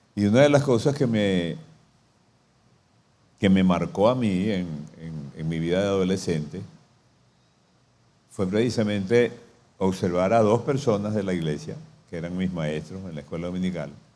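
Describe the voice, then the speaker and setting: The voice has a dark, mellow tone and lively intonation at a moderate pace, broken by long, frequent pauses. Room echo is audible. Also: man, very deep, low pitch for a man. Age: 70s. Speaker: pastor. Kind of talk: sermon.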